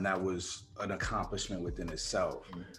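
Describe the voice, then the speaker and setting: The male speaker's voice comes with audible room echo. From Chicago, US. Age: 40s. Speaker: film producer and actor. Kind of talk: casual interview. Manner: hesitant with many fillers.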